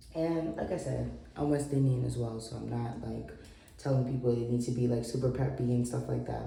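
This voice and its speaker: Speaking at a moderate pace with an American accent, a woman is heard over noticeable background noise. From New York. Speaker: writer and travel vlogger. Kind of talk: casual talk to camera.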